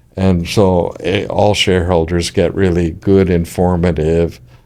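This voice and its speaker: A man with an American accent speaks at a fairly slow pace in a very deep, low pitch. His intonation is monotone and flat, and his loudness is very even. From US West Coast, Silicon Valley. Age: 70s. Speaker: startup founder and investor. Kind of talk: podcast interview. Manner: hesitant, many fillers and repetitions.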